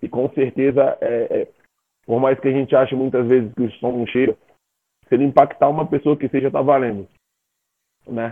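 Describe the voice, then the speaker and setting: This man talks at a fairly quick pace in a medium pitch. His intonation is fairly even. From Brazil, raised in Federal District (born Rio de Janeiro). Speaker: singer-songwriter. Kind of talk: casual chat.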